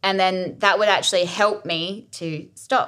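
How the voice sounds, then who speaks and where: A woman speaks in an Australian accent. Her pace is very slow. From Australia, Adelaide. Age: 30s. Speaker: podcast host. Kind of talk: casual monologue. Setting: home kitchen.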